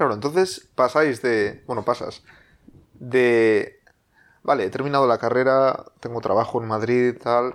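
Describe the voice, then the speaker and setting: At a fairly slow pace, a plain, everyday voice delivers its words with fairly even intonation. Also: man, medium pitch for a man. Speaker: podcast host. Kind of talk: casual chat.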